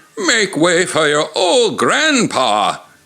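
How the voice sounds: A man's shaky, put-on character voice, high in pitch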